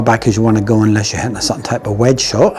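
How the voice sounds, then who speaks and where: A man is speaking with music in the background. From Scotland. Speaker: golf coach. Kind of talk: tutorial. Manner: casual.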